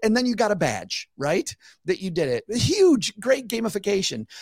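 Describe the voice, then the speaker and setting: In a very clean recording with a silent background, a high-pitched man with an American accent talks at a fairly quick pace, the sound dry and close with no echo. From US Midwest. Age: 50s. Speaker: finance podcast host and author. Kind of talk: casual chat.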